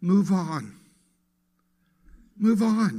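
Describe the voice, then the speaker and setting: A man speaks with a high pitch and fairly even intonation in a dark, mellow tone. Audible room echo is present. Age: 60s. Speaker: guest speaker at a spiritual center. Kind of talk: sermon. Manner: conversational.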